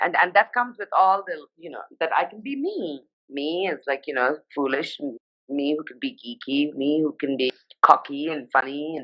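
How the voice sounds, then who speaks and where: The speaker talks at a moderate pace in a Nepali accent. Pitch variation is ordinary, while loudness swings widely. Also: woman, very deep, low pitch for a woman. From India, Sikkim and Darjeeling (Nepali heritage). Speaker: fashion journalist. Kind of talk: casual interview. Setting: Instagram live video.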